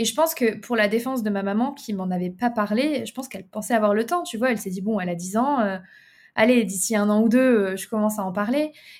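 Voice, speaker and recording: A very fast pace with ordinary pitch variation on a very clean recording against a silent background. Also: woman, fairly high pitch for a woman. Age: 20s. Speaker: entrepreneur. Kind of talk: casual interview.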